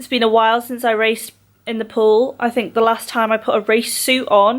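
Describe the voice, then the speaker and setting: This is a woman speaking with an English accent. Her pitch is fairly high. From Scotland. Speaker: competitive swimmer and vlogger. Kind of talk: casual vlog talk to camera.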